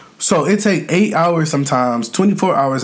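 This man speaks at a moderate pace, his intonation lively. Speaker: mukbang youtuber. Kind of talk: casual vlog chat. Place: home room.

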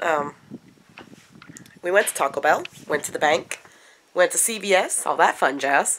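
Speaking at a fairly slow pace, a woman has a fairly bright tone. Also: fairly low pitch for a woman, lively intonation.

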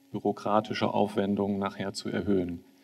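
A man speaks at a moderate pace. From northern Germany. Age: 40s. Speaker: politician; panel member, politician. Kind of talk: panel discussion. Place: hall. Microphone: handheld.

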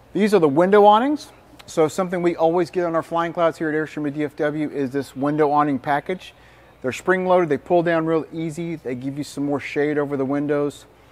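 A man at a fairly quick pace, with fairly even intonation. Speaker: RV salesperson. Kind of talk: product walkthrough presentation. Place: hall. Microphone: lapel.

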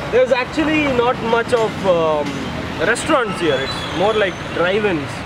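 Loud noise fills the background as this man talks fairly slowly. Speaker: guest. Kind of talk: casual conversation with host. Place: street.

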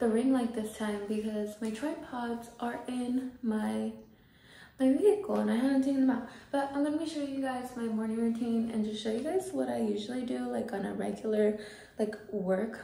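A woman speaks at a moderate pace with ordinary pitch variation. Room echo can be heard. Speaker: vlogger. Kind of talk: casual vlog chat. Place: bathroom. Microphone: phone near.

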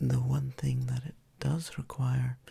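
A soft-spoken man talks in a calm tone, recorded with a dry sound and no echo. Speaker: Reiki practitioner and ASMR creator. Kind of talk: ASMR relaxation introduction. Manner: soft-spoken, calm, slow. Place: home room.

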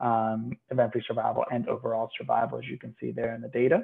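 A man talking at a fairly quick pace in a monotone, flat intonation, with a quiet background. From Puerto Rico. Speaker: physician researcher. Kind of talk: medical lecture. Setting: video call. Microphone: webcam.

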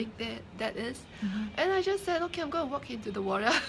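A woman's lively intonation over noticeable background noise. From Singapore. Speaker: entrepreneur and author. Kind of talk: interview testimony. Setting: live stream. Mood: earnest, reflective. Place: shop. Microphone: phone near.

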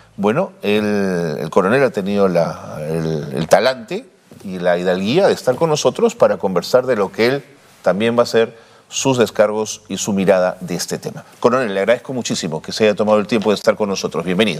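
Lively intonation marks this man's plain, everyday voice. He speaks at a fairly quick pace with a fairly low pitch. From Peru. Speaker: TV news host. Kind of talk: TV interview. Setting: studio. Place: studio.

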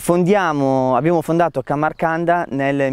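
A man with an ordinary speaking voice, ordinary pitch variation, and a fairly slow pace. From Piedmont, Italy. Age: 20s. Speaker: winemaker. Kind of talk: interview monologue.

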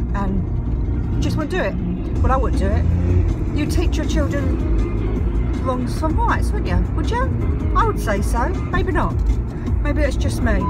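Loud music plays in the background as a woman speaks. She goes at a very slow pace with ordinary pitch variation. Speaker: vlogger. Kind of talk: casual vlog rant. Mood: annoyed, ranting. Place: car. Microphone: phone near.

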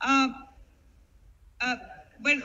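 A woman talks at a moderate pace in a high-pitched voice with a bright, sharp tone.

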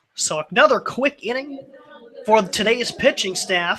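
Over light background noise, a man projects his high-pitched voice. He speaks at a very slow pace with lively intonation. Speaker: radio play-by-play announcer. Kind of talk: live baseball play-by-play commentary. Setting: broadcast booth at ballpark. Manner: brisk, fluent, matter-of-fact play-by-play delivery with stats. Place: stadium.

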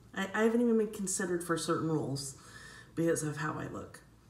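Noticeable background noise and audible room echo surround a woman speaking at a fairly quick pace. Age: 40s. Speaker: actor and comedy vlogger. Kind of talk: casual direct-to-camera monologue.

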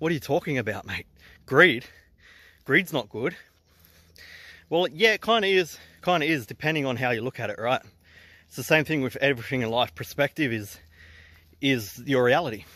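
With an Australian accent and a bright, sharp tone, the speaker uses lively intonation at a fairly quick pace but takes long, frequent pauses. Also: man, fairly high pitch for a man, very clean recording, silent background. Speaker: entrepreneur vlogger. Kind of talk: casual vlog talk. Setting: outdoors hiking.

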